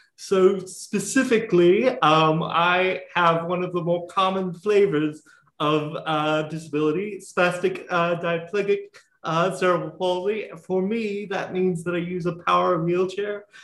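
A man with an American accent talks at a fairly slow pace. His pitch is high for a man, and his intonation stays fairly even. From US South. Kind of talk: casual interview.

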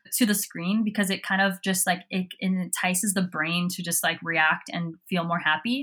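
Hardly pausing, a woman with an American accent speaks at a medium pitch and a moderate pace. Her intonation is fairly even, and the recording is very clean, with a silent background. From Southern California. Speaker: fashion designer. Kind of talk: casual interview.

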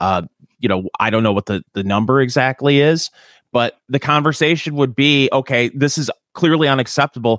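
The recording is very clean with a silent background, and the voice comes through dry and close with no echo, at a moderate pace with ordinary pitch variation. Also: man, medium pitch for a man. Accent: Michigan. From Michigan. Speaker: podcast co-host and radio host. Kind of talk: casual chat. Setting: in his garage.

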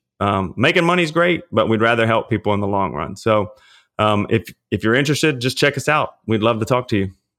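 A man with a Louisiana accent talks at a fairly quick pace with lively intonation and medium pitch. The recording is very clean, with a silent background. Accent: Louisiana Southern US. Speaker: personal trainer and pastor. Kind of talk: casual interview.

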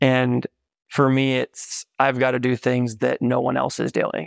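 Speaking with an American accent, a man is recorded against a quiet background. The sound is dry and close, with no echo. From Idaho, US. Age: 30s. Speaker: business development executive and author. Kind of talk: interview. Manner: animated.

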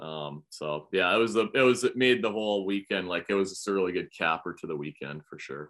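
The loudness swings a lot, with ordinary pitch variation, in a Canadian accent. The pace is fairly quick. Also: man, very deep, low pitch for a man. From Canada. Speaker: professional bass angler. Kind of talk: casual chat.

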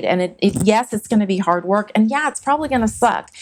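This is a woman with an American accent and an ordinary speaking voice, pitched in the medium range. Her intonation is lively and her pace fairly quick. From California. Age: 50s. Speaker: martial arts instructor. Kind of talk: casual chat.

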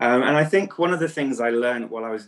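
Speaking with an English accent, a man at a medium pitch shows ordinary pitch variation. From England. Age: 30s. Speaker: coach for men in recovery. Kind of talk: interview.

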